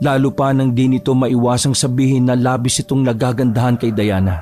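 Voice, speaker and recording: Music plays behind a man who talks at a moderate pace in a medium pitch with ordinary pitch variation. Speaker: voice actor. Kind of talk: horror story narration.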